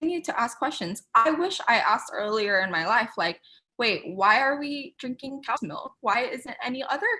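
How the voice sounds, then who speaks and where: A woman speaks at a high pitch with very wide pitch swings and an animated, bright, sharp tone. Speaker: guest speaker, content creator. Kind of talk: webinar presentation. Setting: video call. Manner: fast.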